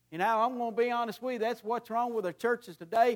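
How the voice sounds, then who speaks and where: A man talks at a very fast pace in a high voice. The recording is very clean, with a silent background. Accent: Tennessee. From US South, Middle Tennessee. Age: 50s. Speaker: preacher. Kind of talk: sermon.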